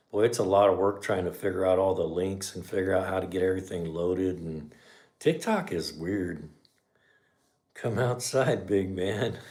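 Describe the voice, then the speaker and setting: A man's very deep, low voice in a relaxed tone, at a moderate pace, with audible room echo. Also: ordinary pitch variation. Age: 60s. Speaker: garage channel host, mechanic. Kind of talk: casual livestream chat. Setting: livestream. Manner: relaxed, conversational.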